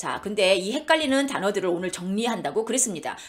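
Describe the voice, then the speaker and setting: A woman is speaking with very wide pitch swings. Background noise is noticeable. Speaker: Bible teacher. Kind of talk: lecture. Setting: online live lecture. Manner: fast.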